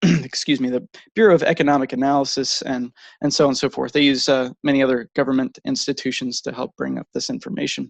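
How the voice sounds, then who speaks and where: Someone with an American accent speaks at a very fast pace with ordinary pitch variation, the sound dry and close with no echo. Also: man, fairly high pitch for a man. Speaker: presenter on economics. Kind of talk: online presentation. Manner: slight tremble in voice; hesitant with many fillers.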